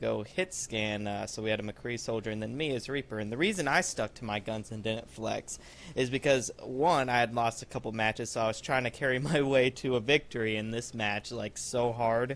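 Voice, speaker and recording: In a plain, everyday voice, a man with a medium pitch and ordinary pitch variation speaks at a moderate pace with hardly any pauses. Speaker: gaming YouTuber. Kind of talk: gameplay commentary. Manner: casual, uses fillers like um and uh.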